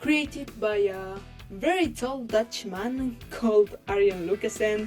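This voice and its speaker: A woman with a Spanish accent talks at a very slow pace, her pitch fairly high and her intonation lively. Music plays in the background. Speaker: digital artist. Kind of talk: casual talk to camera. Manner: rambling, casual.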